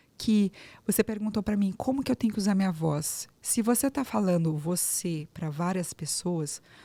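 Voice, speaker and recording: At a moderate pace, a woman speaks with lively intonation in a dark, mellow, somewhat breathy tone on a very clean recording with a silent background. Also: medium pitch for a woman. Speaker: speech therapist, voice coach. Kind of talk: interview podcast conversation.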